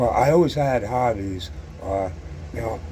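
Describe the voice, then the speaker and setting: Medium-pitched male speech at a moderate pace, with audible room echo and noticeable background noise. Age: 60s. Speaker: scale model hobbyist YouTuber. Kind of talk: casual monologue to camera. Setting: sitting alone at home. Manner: halting, many fillers and repetitions; stutters on some words.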